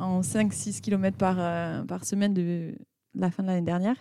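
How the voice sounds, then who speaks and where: Her dark, mellow tone carries fairly even intonation, and the very clean recording has a silent background. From southwestern France, Pau. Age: 30s. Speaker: amateur runner. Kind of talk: casual chat.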